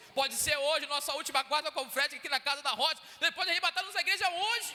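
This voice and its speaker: A man's raised, projected voice at a fairly quick pace. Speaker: deacon preaching as guest. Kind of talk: sermon. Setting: church.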